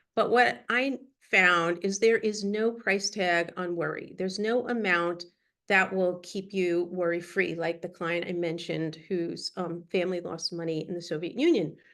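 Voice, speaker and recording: An unremarkable speaking voice from a woman, fairly low-pitched with ordinary pitch variation and a moderate pace, against a quiet background. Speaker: business coach and psychotherapist. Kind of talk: workshop talk.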